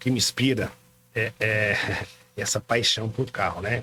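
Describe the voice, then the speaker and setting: Monotone, flat delivery from a man, with noticeable background noise. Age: 60s. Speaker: car dealership owner. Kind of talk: podcast interview.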